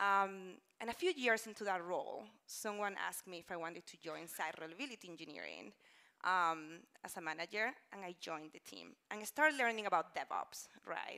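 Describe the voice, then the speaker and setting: Against a quiet background, a woman with a Spanish accent talks at a fairly quick pace, with lively intonation, a bright, sharp tone and big swings in loudness. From Spain. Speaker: conference speaker, engineering manager; conference speaker. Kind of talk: conference talk. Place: stage. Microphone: lapel.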